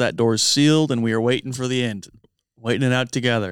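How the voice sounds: On a very clean recording with a silent background, a man with a normal speaking voice talks at medium pitch with fairly even intonation. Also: dry, close sound with no echo.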